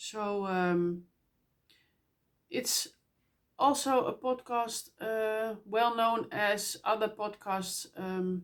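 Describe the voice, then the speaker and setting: Very slow speech with a Dutch accent and ordinary pitch variation. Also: woman. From Netherlands. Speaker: knitting podcaster. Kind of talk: casual podcast monologue. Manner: halting, many fillers.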